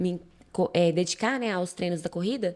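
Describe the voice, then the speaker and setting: The speaker is a woman. Her recording is very clean and the background silent. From Brazil, Minas Gerais (Bicas area). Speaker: amateur runner, podcast guest. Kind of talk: casual interview, personal story. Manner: halting, many fillers.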